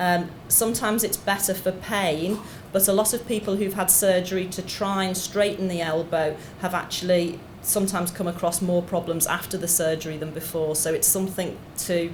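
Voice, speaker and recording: A woman with a Liverpool accent at a moderate pace, monotone and flat, amid audible room echo and noticeable background noise. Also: medium pitch for a woman. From Liverpool, England. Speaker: doctor, clinical geneticist. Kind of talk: lecture. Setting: conference stage with audience.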